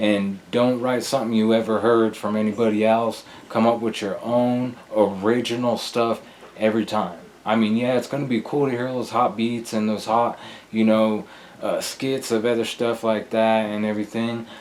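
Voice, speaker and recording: Noticeable background noise sits behind a man speaking at a moderate pace. His pitch is medium and his intonation monotone and flat. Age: 30s. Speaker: rapper. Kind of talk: interview.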